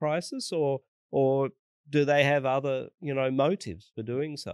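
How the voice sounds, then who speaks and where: With an Australian accent, a man speaks at a fairly slow pace and medium pitch, the sound dry and close with no echo against a quiet background. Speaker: vaccine researcher. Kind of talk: interview.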